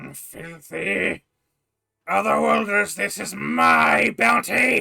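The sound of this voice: In a put-on character voice, a man growls out raspy words at a very deep, low pitch and a very slow pace.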